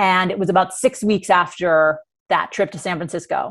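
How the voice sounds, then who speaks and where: A woman with a plain, everyday voice, medium pitch and an American accent, at a moderate pace with fairly even intonation, in a very clean recording with a silent background. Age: 40s. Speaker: life coach. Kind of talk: interview.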